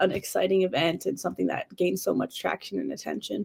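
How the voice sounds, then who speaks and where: Someone with an American accent speaks at a fairly quick pace in a dry, close sound with no echo. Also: woman. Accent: slight Canadian, some say American-sounding. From Canada, Northern Ontario (Sudbury). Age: young. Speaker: college basketball player. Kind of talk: podcast interview.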